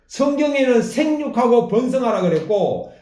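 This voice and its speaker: Audible room echo surrounds a man with an extremely high pitch. He talks at a fairly slow pace with ordinary pitch variation. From South Korea. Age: 60s. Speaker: pastor. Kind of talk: sermon.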